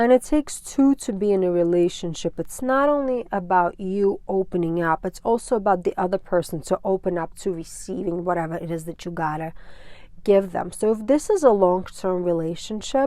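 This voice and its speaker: Recorded very cleanly against a silent background, a woman with a non-native accent speaks at a fairly quick pace in a dark, mellow tone, her medium pitch carried by lively intonation. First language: not English. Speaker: tarot reader. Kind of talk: tarot reading. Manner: casual, filler-heavy.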